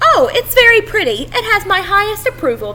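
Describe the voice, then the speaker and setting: An extremely high, squeaky put-on character voice moves at a fairly quick pace over clear background noise. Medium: read story.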